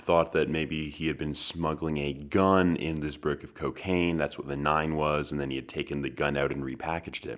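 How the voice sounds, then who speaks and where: Fairly even intonation in a man's very deep, low-pitched voice. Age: 20s. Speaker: podcast host. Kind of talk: solo monologue.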